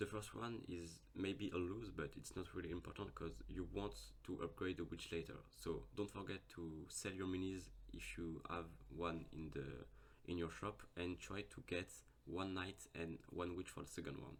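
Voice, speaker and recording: With a very deep, low pitch and vocal fry, a man speaks at a moderate pace using lively intonation. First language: not English. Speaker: gaming YouTuber. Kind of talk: game tutorial. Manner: hesitant, with fillers.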